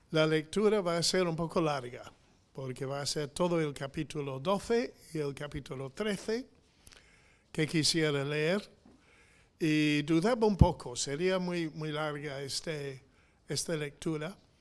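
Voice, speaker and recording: On a very clean recording with a silent background, a man with an English accent talks at a fairly slow pace in a fairly high pitch with ordinary pitch variation. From England. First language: English (speaking Spanish). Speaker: missionary preacher. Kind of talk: sermon. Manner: halting, many fillers.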